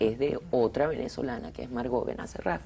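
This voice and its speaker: A woman speaks at a moderate pace. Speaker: film director. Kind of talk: interview.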